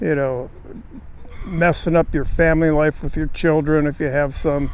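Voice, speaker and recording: Noticeable background noise sits under this recording. A man with a fairly high pitch speaks at a fairly slow pace. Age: 70s. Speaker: recovering alcoholic sharing his experience. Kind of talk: personal testimony monologue. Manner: halting, many filler words.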